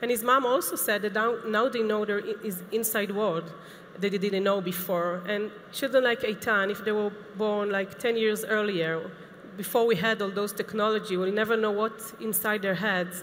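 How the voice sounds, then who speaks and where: At a moderate pace, a woman with a medium-pitched voice speaks in fairly even intonation, with audible room echo. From Israel. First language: Hebrew. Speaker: assistive technology specialist. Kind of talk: conference lecture. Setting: conference stage with audience. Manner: hesitant, with fillers.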